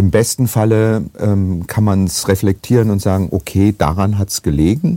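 A man talks at a fairly slow pace with a fairly low pitch. The sound is dry and close, with no echo. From Germany, Essen (Ruhr area). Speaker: actor and voice actor. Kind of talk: casual chat.

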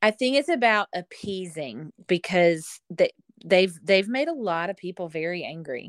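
In a Southern US accent, a woman speaks at medium pitch and a fairly slow pace, with lively intonation and big swings in loudness. The recording is very clean, with a silent background. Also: dry, close sound with no echo. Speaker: travel agent guest. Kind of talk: casual chat.

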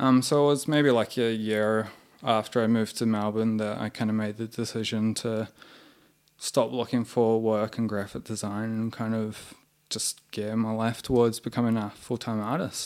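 In a New Zealand accent, a man speaks at a medium pitch and moderate pace with monotone, flat intonation. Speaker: artist and muralist. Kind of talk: casual interview chat. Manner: halting, many fillers.

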